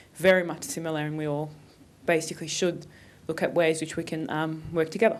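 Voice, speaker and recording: A woman speaks with an Australian accent at a fairly quick pace. Her pitch is very deep and low, her intonation fairly even. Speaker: conference panelist. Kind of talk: panel talk. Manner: hesitant, many fillers.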